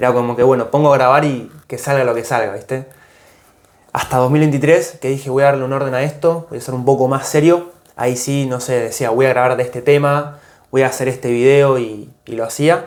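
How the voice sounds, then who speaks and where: A man of medium pitch at a fairly quick pace, with fairly even intonation. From Argentina, Tierra del Fuego (Ushuaia). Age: 20s. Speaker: content creator. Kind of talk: interview. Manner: casual, hesitant.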